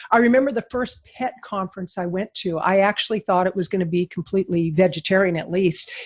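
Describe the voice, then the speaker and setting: A woman at medium pitch, very fast pace and ordinary pitch variation, with a dry, close sound with no echo and noticeable background noise. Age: 60s. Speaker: podcast host. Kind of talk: interview.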